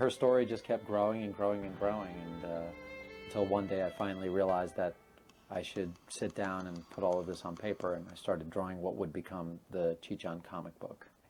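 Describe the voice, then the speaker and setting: With music in the background, a man talks at a fairly quick pace in a very deep, low pitch. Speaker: creator of the comic and animated series, director. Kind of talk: interview answer.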